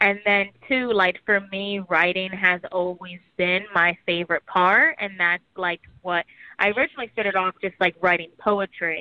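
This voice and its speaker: Using an ordinary speaking voice, a woman talks at a medium pitch. Her intonation is fairly even and her pace moderate. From New York City. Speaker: hip-hop artist. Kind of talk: radio interview. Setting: phone call.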